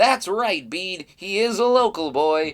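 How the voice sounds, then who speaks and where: Someone uses a put-on character voice at middle pitch and a fairly slow pace. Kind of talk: sports commentary. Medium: read story. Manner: hyped.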